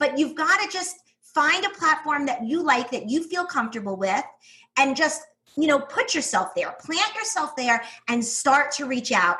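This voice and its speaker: Bright and sharp, a woman's high voice is raised and projected, animated, with very wide pitch swings at a moderate pace, in a strong New York accent. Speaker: teacher turned online business owner. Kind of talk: podcast interview.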